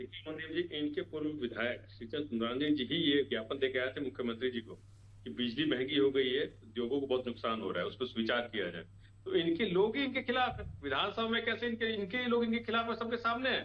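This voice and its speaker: Very wide pitch swings mark this voice. The pace is moderate. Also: man, fairly high pitch for a man. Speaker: opposition party spokesperson. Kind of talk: heated TV debate. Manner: animated, forceful.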